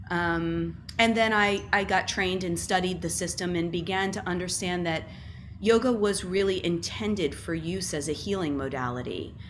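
At a moderate pace, a woman speaks with vocal fry and ordinary pitch variation over light background noise. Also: fairly low pitch for a woman. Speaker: guest. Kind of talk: interview answer. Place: home room. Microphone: webcam.

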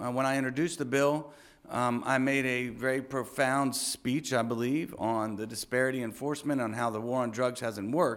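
At a moderate pace, a man uses a plain, everyday voice of medium pitch with fairly even intonation against a quiet background. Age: 40s. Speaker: city council member. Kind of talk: speech. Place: hall. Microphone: lapel.

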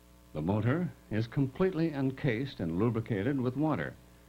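Very wide pitch swings and vocal fry in a dark, mellow tone, at a moderate pace. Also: man. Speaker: documentary narrator. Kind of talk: documentary narration. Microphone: old recording.

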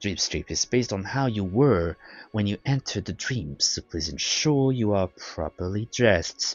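Simply a natural reading voice

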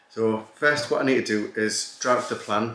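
A man is speaking. Audible room echo can be heard. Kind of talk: casual vlog chat. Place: home room.

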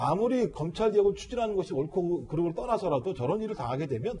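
Over light background noise, a high-pitched man talks at a very fast pace with very wide pitch swings. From South Korea. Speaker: political commentator. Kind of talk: news panel discussion. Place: studio.

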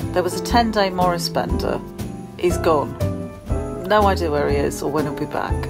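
A woman talks with a British accent. Loud music plays in the background. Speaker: vlogger. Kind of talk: casual talk to camera. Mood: wry, mildly pleading. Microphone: phone near.

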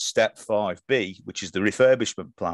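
Against a quiet background, a man talks at a moderate pace, the sound dry with no echo. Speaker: operational excellence consultant and author. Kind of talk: interview. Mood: engaged, friendly.

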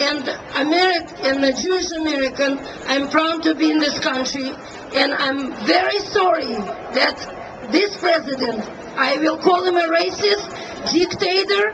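Very slow, high-pitched speech from a woman over noticeable background noise. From Soviet Union. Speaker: rally attendee, Soviet emigre. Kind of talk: impassioned political speech at a rally. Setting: outdoors at a rally. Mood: impassioned, indignant. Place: street. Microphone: pa.

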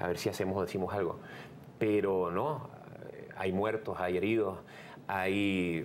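Against light background noise, a man speaks in a very deep, low pitch with fairly even intonation. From Venezuela. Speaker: radio host and comedian. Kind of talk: interview answer. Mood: earnest, serious. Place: studio.

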